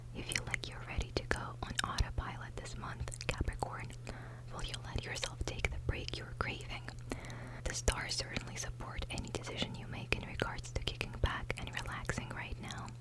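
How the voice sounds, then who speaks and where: A woman whispers at a moderate pace, with noticeable background noise behind her. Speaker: ASMR content creator. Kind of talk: ASMR horoscope reading, whispered to camera. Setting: close microphone at home. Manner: whispered, soft, close-up.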